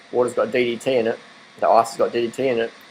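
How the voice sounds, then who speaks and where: In an Australian accent, a man talks at a very fast pace and medium pitch. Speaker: vegan diet vlogger. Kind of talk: casual monologue. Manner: animated.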